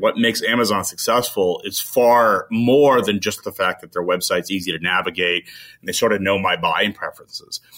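On a very clean recording with a silent background, a man with an American accent talks at a fairly quick pace and a medium pitch in an unremarkable speaking voice with lively intonation. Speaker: CEO of a freight media company; media executive. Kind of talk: casual interview.

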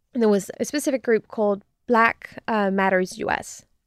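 Talking at a moderate pace and a fairly high pitch, a woman with a French accent is recorded very cleanly, with a silent background and a dry, close sound with no echo. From France. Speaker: disinformation researcher. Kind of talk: interview.

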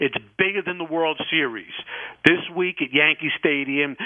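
With an American accent and a normal speaking voice, a man at fairly high pitch speaks at a moderate pace with ordinary pitch variation. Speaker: caller. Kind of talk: casual chat. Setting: phone call.

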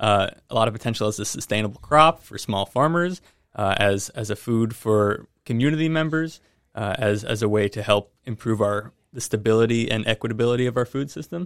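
In a normal speaking voice, a man speaks at a medium pitch and fairly quick pace, dry and close with no echo, in a very clean recording with a silent background. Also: ordinary pitch variation. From New Jersey. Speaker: fruit breeding program director. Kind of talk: interview.

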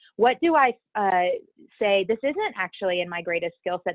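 At a fairly quick pace, a woman speaks in a normal speaking voice. Her medium pitch carries lively intonation. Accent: American. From US South, Baton Rouge, Louisiana. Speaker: business coach and facilitator. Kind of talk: casual interview chat.

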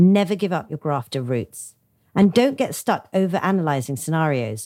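With a London accent, a woman's fairly low voice swings very widely in pitch at a moderate pace, heard on a very clean recording with a silent background. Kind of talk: interview.

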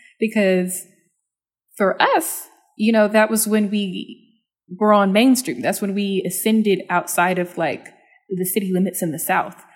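In a normal speaking voice with an American accent, a woman talks at a fairly slow pace, her medium pitch showing ordinary variation. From Texas, Dallas. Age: 20s. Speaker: culture critic and writer. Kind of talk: casual interview. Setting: remote call.

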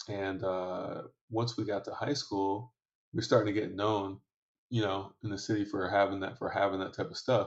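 A man with a fairly low pitch talks at a fairly quick pace in a somewhat breathy voice, with ordinary pitch variation. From Michigan, Detroit area. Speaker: entrepreneur and venture investor. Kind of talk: podcast interview. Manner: casual, frequent fillers.

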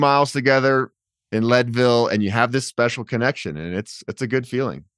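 Speaking at a fairly quick pace with an energetic tone and ordinary pitch variation, a man with an American accent is heard against a quiet background in a dry, close sound with no echo. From Colorado, Boulder. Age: 40s. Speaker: bike adventurer and YouTuber. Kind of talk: casual interview chat.

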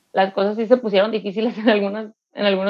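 A woman speaks at a medium pitch. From Mexico, Mexicali. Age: 20s. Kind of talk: testimony.

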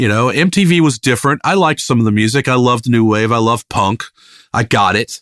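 At a moderate pace, a man with an American accent talks in an unremarkable speaking voice at medium pitch. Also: dry, close sound with no echo. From Richmond, Virginia (US South). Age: 50s. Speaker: rock bassist. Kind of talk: casual interview chat.

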